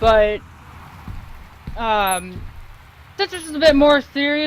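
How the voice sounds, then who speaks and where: The voice has an animated tone over noticeable background noise. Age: 20s. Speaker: gaming commentator. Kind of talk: let's play commentary. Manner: loud.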